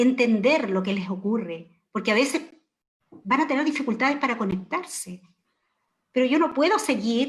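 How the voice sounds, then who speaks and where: A woman speaks with a high voice. Her intonation is lively. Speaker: education professor. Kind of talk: panel discussion.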